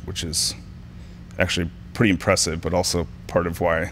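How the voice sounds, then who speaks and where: A man speaks at a moderate pace. Light background noise is present. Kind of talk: interview answer.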